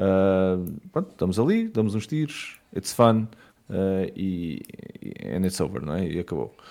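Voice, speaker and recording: Lively intonation and a dark, mellow tone come through at a fairly slow pace. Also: man, very deep, low pitch for a man. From Portugal, Matosinhos (Porto area). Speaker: board game business founder. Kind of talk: casual chat.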